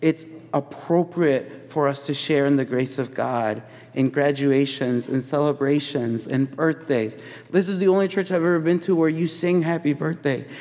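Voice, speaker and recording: This man's voice sits fairly high and moves at a moderate pace. His pitch varies in an ordinary way, and there is noticeable background noise. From Chicago. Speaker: preacher. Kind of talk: sermon. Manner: casual, filler-heavy.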